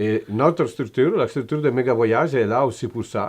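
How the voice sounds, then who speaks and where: With an Italian accent, a man talks at a fairly quick pace with lively intonation against a quiet background. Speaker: motorcycle tour operator. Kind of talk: interview answer.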